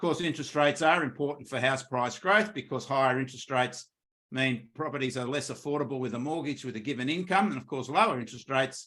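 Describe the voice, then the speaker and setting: A man with an Australian accent speaks at a very fast pace and a medium pitch. His tone is bright and sharp, with ordinary pitch variation. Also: big swings in loudness. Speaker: economist. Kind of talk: market update presentation.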